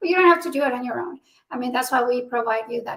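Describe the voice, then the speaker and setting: A woman with a Spanish accent speaks at a high pitch. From Mexico. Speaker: military spouse advocate, nonprofit founder. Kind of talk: interview.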